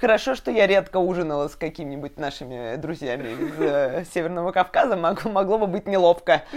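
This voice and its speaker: At a fairly quick pace with hardly any pauses, a woman with a fairly low pitch uses lively intonation over noticeable background noise. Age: 20s. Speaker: podcast host, designer. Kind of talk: casual chat.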